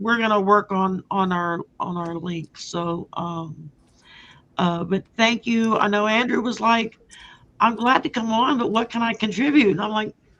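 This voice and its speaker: A woman talks fairly slowly in an unremarkable speaking voice with a fairly high pitch. Her pitch variation is ordinary. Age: 60s. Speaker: psychic and tarot reader, channel host. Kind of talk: casual chat. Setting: livestream fundraiser, off camera.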